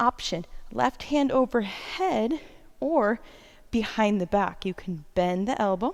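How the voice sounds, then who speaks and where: Soft-spoken and fairly high in pitch, a woman's voice moves in very wide pitch swings. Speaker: yoga instructor. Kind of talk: guided yoga class.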